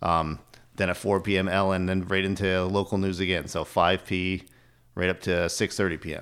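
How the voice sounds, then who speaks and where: A man's very deep, low voice in an American accent, monotone and flat, at a moderate pace in a very clean recording with a silent background. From northern New York State. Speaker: TV sales manager. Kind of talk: casual interview chat. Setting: studio.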